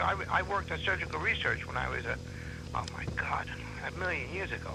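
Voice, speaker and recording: A man with an American accent speaks very fast. Noticeable background noise and audible room echo surround his voice. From New York. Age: 60s. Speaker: comedian. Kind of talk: casual chat. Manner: animated.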